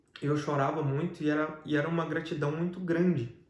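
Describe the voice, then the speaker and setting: A man's fairly high voice at a fairly quick pace, with fairly even intonation and audible room echo. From Brazil. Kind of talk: testimony interview.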